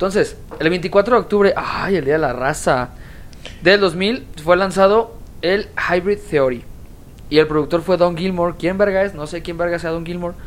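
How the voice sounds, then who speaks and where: With a Mexican accent, a woman speaks at a moderate pace and fairly low pitch with ordinary variation, over noticeable background noise. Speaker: podcast co-host. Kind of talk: casual chat. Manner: animated.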